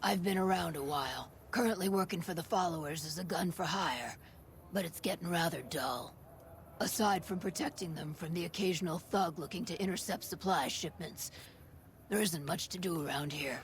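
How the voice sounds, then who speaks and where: Clear background noise sits under a put-on character voice at a middle pitch and a moderate pace. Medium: video game. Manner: dry, laid-back.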